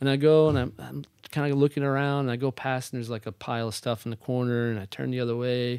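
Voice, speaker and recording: Very fast American-accented speech from a man at medium pitch, fairly even in intonation, dry and close with no echo. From northern New Jersey. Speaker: real estate agent, former performer. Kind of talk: casual interview.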